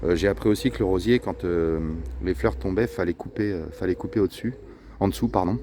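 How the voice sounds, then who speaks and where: At a moderate pace, a man with a very deep, low pitch speaks in very wide pitch swings. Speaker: vlogger gardener. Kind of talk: casual vlog walkthrough. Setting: outdoors in garden. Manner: soft-spoken; hesitant, many fillers.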